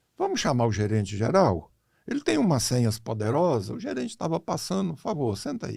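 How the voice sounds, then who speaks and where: A man's dark, mellow, somewhat breathy voice at a fairly quick pace, on a very clean recording with a silent background. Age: 80s+. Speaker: financial consultant. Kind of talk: casual interview storytelling. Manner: animated.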